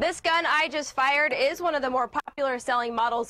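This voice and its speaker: A woman's lively intonation and fairly quick delivery come through noticeable background noise. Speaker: news anchor and reporter. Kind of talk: TV news read.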